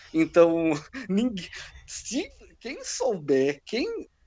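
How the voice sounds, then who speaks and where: Against a quiet background, a man's high voice moves through very wide pitch swings. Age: 20s. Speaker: gamer. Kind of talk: casual chat.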